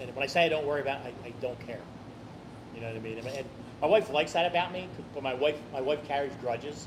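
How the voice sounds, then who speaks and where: A man speaks at a very fast pace in a fairly high pitch. Noticeable background noise runs behind him. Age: 60s. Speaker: eating challenge podcast host. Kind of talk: casual chat.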